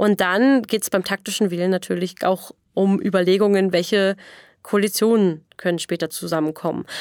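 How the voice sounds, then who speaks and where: In a very clean recording with a silent background and a dry, close sound with no echo, a woman with a normal speaking voice at medium pitch talks at a moderate pace, her intonation fairly even and her loudness very even. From Berlin area, Brandenburg. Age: 20s. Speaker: democracy activist, political scientist. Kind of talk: podcast interview. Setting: podcast studio.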